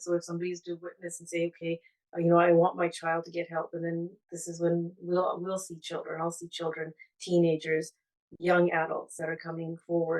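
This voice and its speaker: The speech runs at a fairly quick pace with monotone, flat intonation and big swings in loudness. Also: woman. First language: Punjabi. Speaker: therapeutic counsellor. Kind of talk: webinar panel talk. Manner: halting, many repetitions and fillers.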